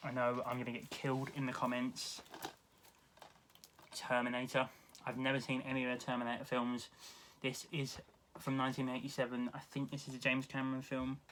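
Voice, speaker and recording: With a British accent, a man speaks at a fairly quick pace in a flat monotone, with long, frequent pauses. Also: medium pitch for a man. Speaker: YouTube film collector. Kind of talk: casual haul video monologue.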